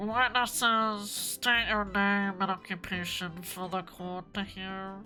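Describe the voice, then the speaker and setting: A female-sounding, put-on character voice, nasal and medium in pitch, moves at a fairly slow pace with hardly any pauses. Clear music plays in the background. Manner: formal, stiff.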